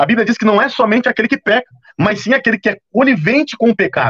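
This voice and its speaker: At a very fast pace and high pitch, a man talks with ordinary pitch variation in a dry, close sound with no echo. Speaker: preacher. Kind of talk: sermon. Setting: livestream.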